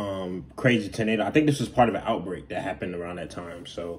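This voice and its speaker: A man with a very deep, low voice talks very fast, his loudness swinging widely while his pitch varies in an ordinary way. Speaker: reaction video creator. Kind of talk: casual vlog chat. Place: home room. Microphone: phone near.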